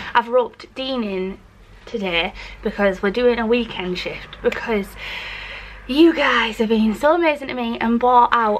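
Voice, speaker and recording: This woman talks at a moderate pace. Her pitch variation is ordinary. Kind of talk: casual vlog chat. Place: workshop. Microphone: phone near.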